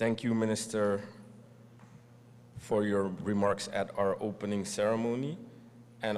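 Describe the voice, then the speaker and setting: A man's fairly low voice, fairly even in intonation, at a fairly slow pace. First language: Dutch. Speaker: event host. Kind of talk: formal speech.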